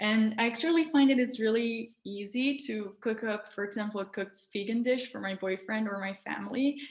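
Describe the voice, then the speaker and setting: Speaking fairly quickly with hardly any pauses, a woman with a non-native accent keeps a fairly high pitch and ordinary pitch variation. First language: not English. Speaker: wellness influencer. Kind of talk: casual interview, personal story. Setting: video call. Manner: warm, slightly hesitant with fillers.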